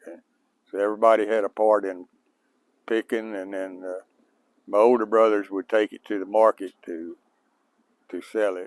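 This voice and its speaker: On a very clean recording with a silent background, a man with a fairly low pitch speaks in a monotone, flat way, leaving long, frequent pauses. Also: moderate pace, big swings in loudness. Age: 80s+. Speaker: farmer. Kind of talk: interview. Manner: halting.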